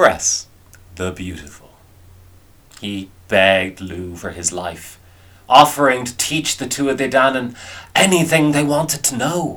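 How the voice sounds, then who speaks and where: In an Irish accent, a man at medium pitch talks with an animated, bright, sharp tone at a fairly slow pace, with very wide pitch swings, big swings in loudness and long, frequent pauses. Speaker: storyteller. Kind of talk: folklore storytelling. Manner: animated, wry, conversational storyteller's delivery.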